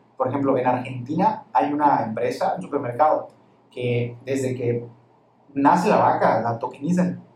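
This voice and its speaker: Speaking at a moderate pace, a man uses a normal speaking voice with medium pitch and ordinary pitch variation. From Campeche, Mexico. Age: 20s. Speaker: lawyer and crypto enthusiast. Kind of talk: interview.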